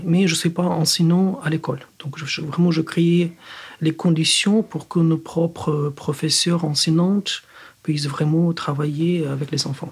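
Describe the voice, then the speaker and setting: A man with a Ukrainian accent, fairly high pitch, fairly slow pace and fairly even intonation, over noticeable background noise. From Ukraine. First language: Ukrainian (speaking French). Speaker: physicist. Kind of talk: interview. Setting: studio.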